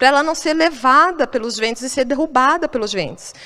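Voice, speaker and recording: A woman speaks at a moderate pace with a high pitch and lively intonation, over noticeable background noise. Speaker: pastor. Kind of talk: sermon.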